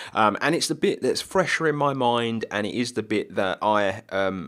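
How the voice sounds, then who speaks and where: A man with a British accent speaks at a medium pitch, his intonation lively. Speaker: gaming video creator. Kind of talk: gameplay commentary. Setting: home recording at night. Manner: quiet, subdued; casual, filler-heavy.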